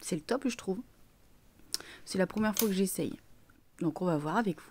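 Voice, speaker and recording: Lively intonation marks a woman's medium-pitched voice in a very clean recording with a silent background. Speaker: beauty vlogger. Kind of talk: makeup tutorial. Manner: casual, chatty.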